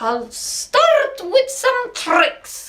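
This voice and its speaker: A woman's squeaky put-on character voice, extremely high in pitch, with lively intonation. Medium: read story. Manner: courtly, theatrical.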